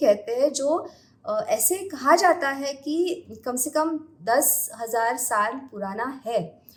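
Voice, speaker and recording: The speaker has a Marathi accent and lively intonation. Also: woman. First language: Marathi (speaking Hindi). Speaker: astrologer. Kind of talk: podcast interview. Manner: halting, many hesitations.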